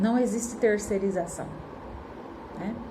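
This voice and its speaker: With audible room echo and noticeable background noise, a woman talks at a fairly high pitch with fairly even intonation. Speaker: spiritist lecturer. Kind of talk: lecture. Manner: casual, with many fillers.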